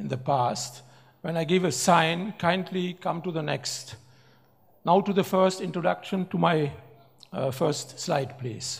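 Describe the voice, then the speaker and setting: With a German accent, this man uses a high pitch and lively intonation at a fairly slow pace. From Germany. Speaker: professor and business speaker. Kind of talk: speech with slides. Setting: award ceremony stage with audience. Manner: halting.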